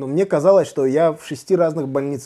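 Using a normal speaking voice, a man speaks at a fairly high pitch with lively intonation. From Uzbekistan. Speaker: stand-up comedian. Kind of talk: casual chat.

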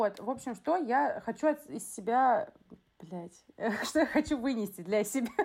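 Long, frequent pauses break up a woman's fairly slow speech. Her high voice carries lively intonation. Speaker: teacher in education, podcast co-host. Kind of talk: casual chat. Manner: blunt, abrupt.

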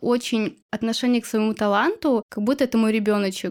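Her pitch is high and her pace fairly quick, with ordinary pitch variation. This woman's voice sounds dry and close, with no echo. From Chuvashia, Russia. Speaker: illustrator and blogger. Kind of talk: casual interview chat.

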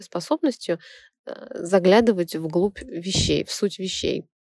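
A plain, everyday voice from a woman, medium in pitch with lively intonation, dry and close with no echo. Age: 30s. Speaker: radio host and theta healing instructor. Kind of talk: radio talk monologue.

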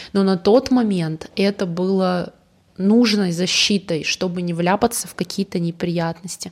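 Her voice sits at a medium pitch. The woman talks at a moderate pace. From Russia, Yoshkar-Ola (Volga region). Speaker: podcast co-host. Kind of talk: casual chat.

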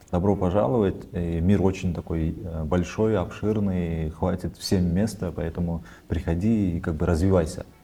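Over music in the background, a man with a very deep, low pitch speaks at a fairly slow pace, his intonation fairly even. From Kyrgyzstan. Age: 30s. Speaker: videomaker and welder. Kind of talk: casual interview.

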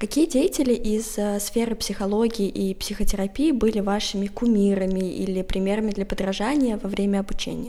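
A woman talks in an ordinary speaking voice at medium pitch and a moderate pace, with ordinary pitch variation. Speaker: podcast host. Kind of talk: casual interview.

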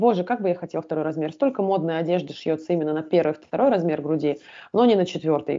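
A woman's fairly low voice at a very fast pace with ordinary pitch variation. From southern Russia, Volgograd (born in Tashkent). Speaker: body language and self-esteem coach. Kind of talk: casual interview.

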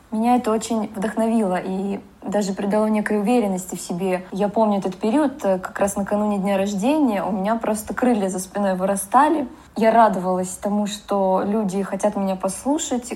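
Her pitch is medium and her intonation fairly even. The woman has an unremarkable speaking voice and a moderate speed. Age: 30s. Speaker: cadastral engineer and photographer. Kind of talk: personal story.

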